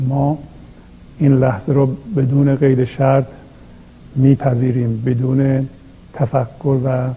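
Speaking very slowly with long, frequent pauses, a man holds a monotone, flat intonation. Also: medium pitch for a man. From Iranian Azerbaijan. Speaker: spiritual teacher. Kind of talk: talk on poetry and spirituality.

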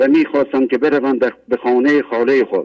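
At a fairly quick pace, a man talks in a monotone, flat intonation. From Iran, Mashhad. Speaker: caller. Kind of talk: reading prepared testimony. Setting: phone call.

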